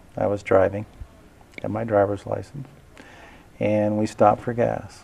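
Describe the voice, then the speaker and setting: Against noticeable background noise, a man speaks at a moderate pace in a fairly low, monotone, flat voice. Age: 60s. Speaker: political candidate. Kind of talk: interview.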